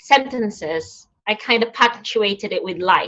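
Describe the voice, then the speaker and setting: A woman's fairly high voice with a Filipino accent and ordinary pitch variation. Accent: Filipino accent, non-native English. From Philippines. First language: Tagalog. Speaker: nurse and poet. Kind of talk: conversation at an online event. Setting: online event. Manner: halting, with repetitions and fillers.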